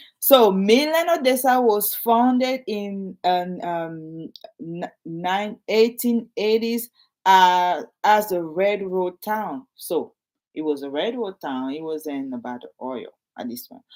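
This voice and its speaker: A very slow pace in a French accent. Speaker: realtor. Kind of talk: casual talk to camera, partly reading aloud. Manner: halting, repetitive.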